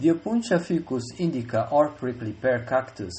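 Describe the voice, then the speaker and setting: Speaking at a moderate pace, a man has a Brazilian accent. His voice is somewhat breathy. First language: Portuguese. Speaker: researcher. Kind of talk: conference presentation. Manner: formal.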